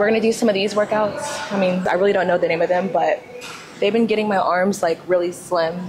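There is noticeable background noise. A woman speaks with ordinary pitch variation. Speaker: fitness vlogger. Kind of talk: casual vlog chat. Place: gym.

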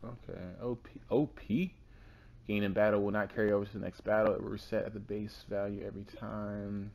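Speaking quietly at a fairly quick pace, a man with a fairly low pitch swings widely in loudness against light background noise. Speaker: let's play gamer. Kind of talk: casual gameplay commentary. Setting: low-quality home recording.

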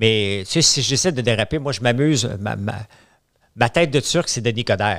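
A man with a Quebec accent at a moderate pace, in a dry sound with no echo. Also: quiet background. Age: 50s. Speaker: entrepreneur; podcast guest. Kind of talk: casual chat. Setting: studio. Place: studio. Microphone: studio mic.

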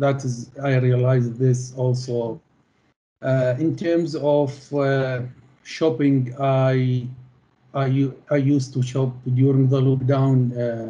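A man's somewhat breathy voice, monotone and flat, at a very slow pace. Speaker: interviewee. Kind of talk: interview answer. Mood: calm, grateful. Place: home room. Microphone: video call.

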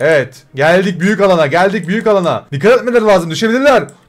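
A man is speaking. He talks very fast. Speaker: gaming YouTuber. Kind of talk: casual gaming commentary. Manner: animated.

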